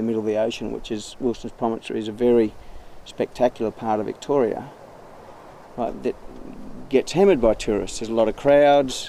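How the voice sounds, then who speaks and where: A man speaks with an Australian accent at a very fast pace. His tone is dark and mellow. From central West Queensland, Australia. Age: 50s. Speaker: recreational fisher. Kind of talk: interview testimony. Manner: halting, with repetitions.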